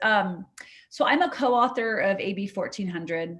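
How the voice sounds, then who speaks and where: Against a quiet background, a woman in an American accent speaks with lively intonation. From California (Sierra Nevada). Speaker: state legislator. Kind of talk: virtual town hall Q&A. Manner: fast; animated.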